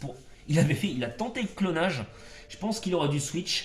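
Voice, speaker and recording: Against noticeable background noise, a man with a fairly high pitch talks at a moderate pace with lively intonation. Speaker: gaming YouTuber. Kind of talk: gameplay commentary. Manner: loud; hesitant, many fillers. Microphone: no microphone, speaks loud.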